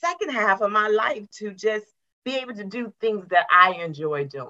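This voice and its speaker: A woman with a normal speaking voice, fairly high in pitch, with lively intonation at a moderate pace. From West Virginia, US. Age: 50s. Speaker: retired government worker, women's coach. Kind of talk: interview podcast. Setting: video call.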